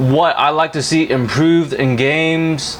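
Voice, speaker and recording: Noticeable background noise behind a man with a fairly high pitch. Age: 20s. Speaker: gaming YouTuber. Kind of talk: casual gameplay commentary. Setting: home, playing racing sim. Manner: hesitant, many fillers.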